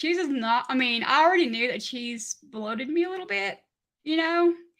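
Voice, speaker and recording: With a strong Southern accent, a woman uses a raised, projected voice that is high-pitched, bright and sharp, with ordinary pitch variation. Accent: heavy Southern. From Kentucky, US South. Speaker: keto diet content creator. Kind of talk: casual live stream chat.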